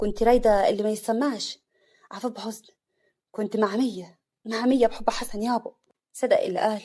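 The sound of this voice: Quiet background, an unforced reading voice, and fairly even intonation.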